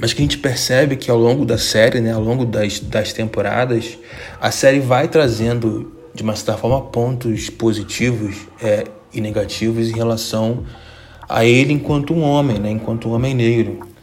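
There is audible room echo and noticeable background noise. A man speaks with a medium pitch and ordinary pitch variation. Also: moderate pace. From Brazil. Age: 20s. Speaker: podcast host. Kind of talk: casual monologue.

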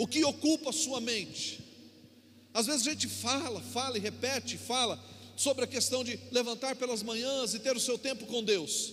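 With fairly even intonation, a man talks at a moderate pace in an extremely high pitch. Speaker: pastor. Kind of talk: sermon. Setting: church.

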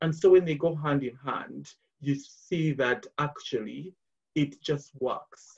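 At a very slow pace, a man with a fairly high pitch speaks in a somewhat breathy voice with ordinary pitch variation. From Uganda, Kampala. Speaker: charity fundraising executive. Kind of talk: casual interview. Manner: halting with frequent repetitions.

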